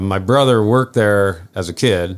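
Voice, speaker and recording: A man with an American accent speaks in a plain, everyday voice at a fairly low pitch with ordinary pitch variation, on a very clean recording with a silent background. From upstate New York. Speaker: marina owner and water skier. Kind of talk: casual chat.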